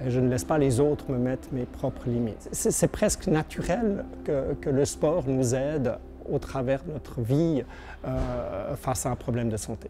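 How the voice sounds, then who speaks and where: A man at a fairly slow pace, with music in the background. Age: 60s. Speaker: blind para-climber. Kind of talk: testimony. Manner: hesitant, many fillers and repetitions.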